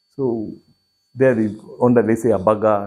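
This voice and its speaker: A man with a Kenyan accent, fairly low in pitch, with a dark, mellow tone, fairly even intonation, and a fairly slow pace. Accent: Kenyan Meru. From Kenya, Meru region. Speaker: entrepreneur. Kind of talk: interview.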